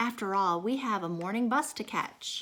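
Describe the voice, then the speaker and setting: Her put-on character voice sits at a fairly high pitch for a woman. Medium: read story. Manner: gentle, polite.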